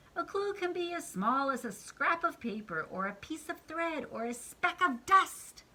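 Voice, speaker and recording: A put-on character voice, high in pitch, delivers its lines at a moderate pace. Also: hardly any pauses. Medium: read story. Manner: pompous, grandiose.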